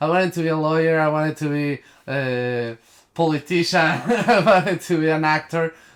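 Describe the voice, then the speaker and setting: Speaking with a strong Mexican accent, a man talks at a fairly quick pace and fairly high pitch with fairly even intonation. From Mexico. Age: 20s. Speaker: actor and production designer. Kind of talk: casual interview. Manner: halting, many fillers and restarts.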